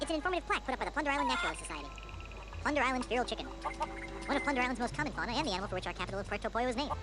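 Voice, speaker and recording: A squeaky, put-on character voice at a very fast pace, loud music in the background. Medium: cartoon.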